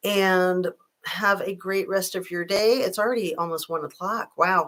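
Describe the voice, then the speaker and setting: A woman with medium pitch and an unremarkable speaking voice talks at a fairly slow pace with fairly even intonation. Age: 60s. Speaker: true crime YouTuber. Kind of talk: livestream chat reading viewer comments.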